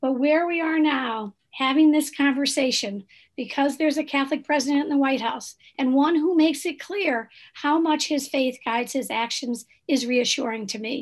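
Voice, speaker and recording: This woman speaks at a moderate pace, her pitch high with ordinary variation. The background is quiet. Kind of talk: panel discussion.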